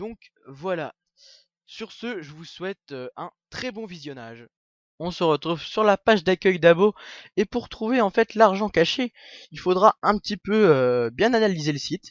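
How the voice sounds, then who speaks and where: Speaking at a fairly slow pace with lively intonation, the voice swings widely in loudness. Long pauses come often. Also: man, high pitch for a man. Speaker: gaming YouTuber. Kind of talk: screen-recorded tutorial. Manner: hesitant, many fillers.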